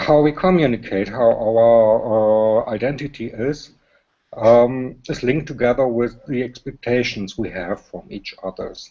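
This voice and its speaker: With a German accent, a man talks fairly slowly at medium pitch, with ordinary pitch variation and big swings in loudness. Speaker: panel guest. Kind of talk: panel discussion. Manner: halting.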